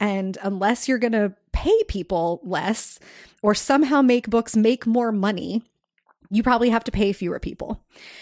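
Heard on a very clean recording with a silent background, an unremarkable speaking voice moves at a moderate pace with ordinary pitch variation and a dry, close sound with no echo. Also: woman. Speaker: books podcast host. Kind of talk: casual chat. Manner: laughs often.

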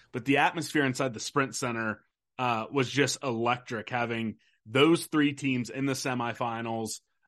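A man with an American accent speaks at a moderate pace, his medium pitch and fairly even intonation making for an unremarkable speaking voice. The background is quiet. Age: 30s. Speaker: sports podcaster. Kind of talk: casual chat.

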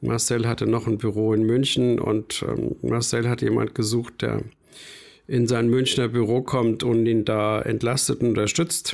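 A man's monotone, flat delivery at very even loudness, in a very clean recording with a silent background. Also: medium pitch for a man, fairly slow pace. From rural Bavaria. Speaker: concert promoter. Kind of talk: interview.

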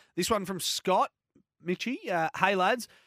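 A man with an Australian accent at a moderate pace, with ordinary pitch variation, on a very clean recording with a silent background. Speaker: radio racing show host. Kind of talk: casual radio chat. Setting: studio.

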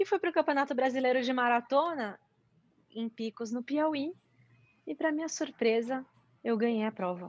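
A woman speaks in a high voice at a moderate pace, with lively intonation and long, frequent pauses. The sound is dry and close with no echo, over a quiet background. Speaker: mountain bike athlete and sports commentator. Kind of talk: interview.

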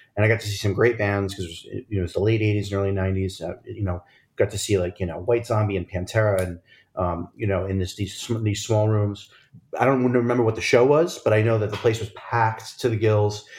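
A somewhat breathy man's voice, fairly low in pitch, at a fairly quick pace with fairly even intonation, on a very clean recording with a silent background. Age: 40s. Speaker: podcast host and chef. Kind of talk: casual chat.

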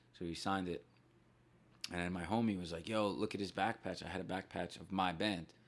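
A man with a very deep, low voice and a New Jersey accent, talking at a fairly quick clip with fairly even intonation. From northern New Jersey. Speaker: punk musician. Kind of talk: casual chat.

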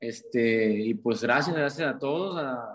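A man with a northern Mexican accent speaks at a medium pitch. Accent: northern Mexican (Sonoran) Spanish. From Mexico, Sonora (Caborca). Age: 20s. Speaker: singer-songwriter. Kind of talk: interview.

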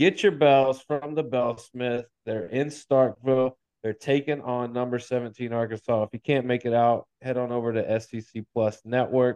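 A man with a normal speaking voice talks at a fairly slow pace, at a medium pitch, with fairly even intonation. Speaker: sports podcast host. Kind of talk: casual sports chat.

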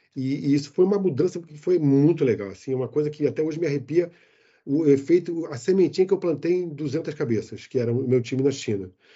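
A man's fairly high voice moves along fairly quickly, its pitch shifting in a normal way. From Rio de Janeiro, Brazil. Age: 60s. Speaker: IT executive living abroad. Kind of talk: interview. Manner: animated.

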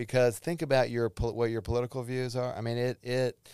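A man's normal speaking voice, medium pitch and moderate pace, on a very clean recording with a silent background. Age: 50s. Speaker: psychologist. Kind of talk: casual chat.

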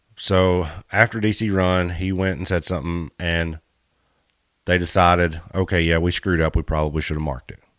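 Recorded very cleanly against a silent background, a man with a Kentucky accent speaks at a moderate pace in a very deep, low pitch with fairly even intonation. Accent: Southern US (Kentucky). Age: 30s. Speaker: off-road podcast host. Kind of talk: casual chat. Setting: studio.

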